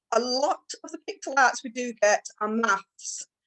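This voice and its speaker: This woman has a high-pitched voice. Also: dry, close sound with no echo. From Scotland, Orkney. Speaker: teacher and webinar co-host. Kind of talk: tutorial. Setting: video call.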